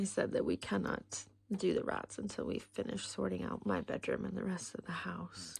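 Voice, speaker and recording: A woman whispers at a moderate pace. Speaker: budgeting vlogger. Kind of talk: casual vlog chat. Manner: quiet, soft-spoken.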